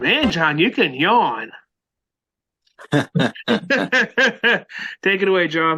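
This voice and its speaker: A man's raised, projected voice in an American accent, high in pitch, with very wide pitch swings, a very slow pace and long, frequent pauses, over music in the background. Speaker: podcast host. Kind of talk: casual chat.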